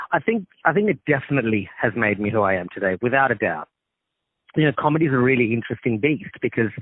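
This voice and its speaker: A man with an Australian accent, medium-pitched, at a very fast pace with lively intonation and very even loudness. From Australia, Sri Lankan family. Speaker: actor and comedian. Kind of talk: phone interview. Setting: phone call.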